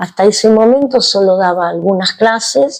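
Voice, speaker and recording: A woman speaks with a Rioplatense accent. Her pitch varies in an ordinary way. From Argentina, Buenos Aires. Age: 60s. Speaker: yoga teacher. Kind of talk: interview.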